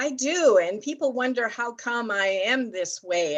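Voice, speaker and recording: With a Canadian accent, a woman speaks at a fairly high pitch and swings her pitch very widely. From Canada. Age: 70s. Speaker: author and motivational speaker. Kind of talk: podcast interview. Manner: animated.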